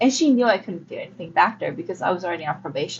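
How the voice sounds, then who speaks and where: A woman speaks at a very fast pace. Her voice is somewhat breathy. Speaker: audiobook reader. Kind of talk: reading aloud.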